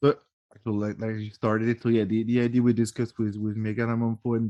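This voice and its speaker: With a French accent, the voice has a dark, mellow tone and a dry, close sound with no echo. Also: man. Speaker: podcast host. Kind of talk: casual interview chat. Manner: halting.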